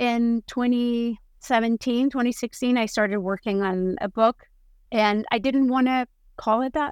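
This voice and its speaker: A woman with a Spanish accent and ordinary pitch variation, in a dry, close sound with no echo, on a very clean recording with a silent background. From Spain, Basque Country. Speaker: food photographer and author. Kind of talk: interview.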